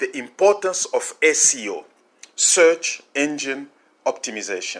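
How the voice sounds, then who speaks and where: A man talks with a Congolese accent. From DR Congo. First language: French. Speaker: marketing consultant. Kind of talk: tutorial. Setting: recorded audio call.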